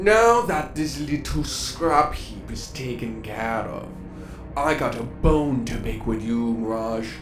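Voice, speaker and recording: A put-on character voice moves at a fairly slow pace. Clear background noise can be heard. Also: man, medium pitch for a man. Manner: menacing, taunting.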